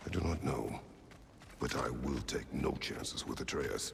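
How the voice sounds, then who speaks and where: Clear background noise accompanies a put-on character voice moving at a moderate pace. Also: man, very deep, low pitch for a man. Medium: video game. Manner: terse, solemn.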